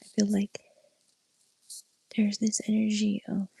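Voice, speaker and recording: A soft-spoken woman talks at a fairly slow pace. The sound is dry and close, with no echo. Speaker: tarot reader. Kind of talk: soft-spoken ASMR tarot reading.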